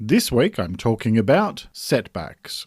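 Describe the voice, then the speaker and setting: A man with an Australian accent talks at a fairly slow pace and medium pitch, with very wide pitch swings. The sound is dry and close with no echo, and the recording is very clean with a silent background. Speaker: mental health podcast host. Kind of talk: podcast monologue. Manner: scripted, steady delivery.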